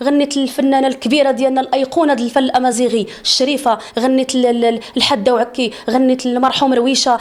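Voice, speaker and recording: Against noticeable background noise, a woman with a Moroccan accent talks very fast in a high, animated voice, with hardly any pauses and very even loudness. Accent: Moroccan Arabic (Darija). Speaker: singer. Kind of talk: interview.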